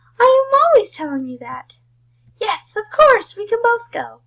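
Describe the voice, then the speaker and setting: Raising and projecting her voice, a woman does a squeaky put-on character voice at an extremely high pitch and a moderate pace. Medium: read story. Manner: loud, enthusiastic.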